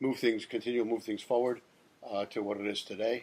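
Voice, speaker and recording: This man has an American accent and a medium pitch. He delivers his words in a monotone, flat way. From New York, Queens. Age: 60s. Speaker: baseball umpire. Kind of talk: interview. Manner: halting, many fillers.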